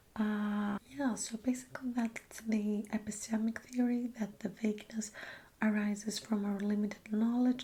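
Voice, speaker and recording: A soft-spoken woman talks in a relaxed tone at a fairly slow pace, her fairly high pitch held in fairly even intonation. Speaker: ASMR creator. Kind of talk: ASMR soft-spoken philosophy talk for sleep. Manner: soft-spoken, relaxed, conversational.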